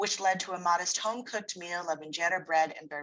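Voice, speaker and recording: Bright and sharp in tone, the voice moves at a very fast pace with fairly even intonation. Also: woman. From San Francisco Bay Area, California. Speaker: writer and poet. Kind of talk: reading aloud.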